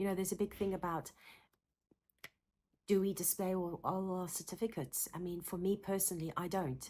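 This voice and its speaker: A woman with a South African accent talks fairly quickly at a medium pitch, breaking with long, frequent pauses. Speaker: psychotherapist. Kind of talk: talking-head Q&A video. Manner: animated; halting.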